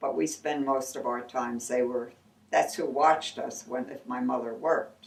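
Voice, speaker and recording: At a moderate pace, a woman speaks with a very deep, low pitch. Her pitch variation is ordinary. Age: old. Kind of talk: interview answer. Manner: casual, reminiscing.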